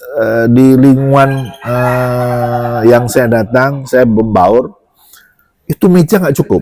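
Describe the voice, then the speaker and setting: Speaking very slowly, a man varies his pitch in an ordinary way. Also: medium pitch for a man. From Java. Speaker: doctor. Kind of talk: casual chat.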